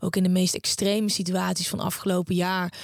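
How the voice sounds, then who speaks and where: A woman speaks fairly quickly in a medium pitch with a somewhat breathy quality. Her intonation stays monotone and flat. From Netherlands, Brabant (Uden). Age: 30s. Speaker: podcaster and author, former TV presenter. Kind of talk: interview.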